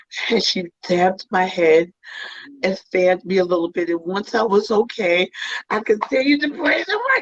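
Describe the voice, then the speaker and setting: This woman has an animated tone, ordinary pitch variation and a medium pitch. She talks at a moderate pace. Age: 60s. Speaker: guest sharing personal story of hair loss. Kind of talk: interview testimony. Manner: animated storytelling.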